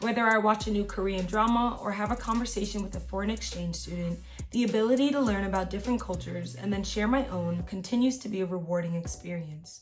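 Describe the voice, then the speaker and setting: A woman speaking at a very fast pace with hardly any pauses, amid audible room echo and music in the background. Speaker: YouTuber giving college advice. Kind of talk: reading aloud; casual vlog talk. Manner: stumbles over words when reading; filler-heavy casual speech.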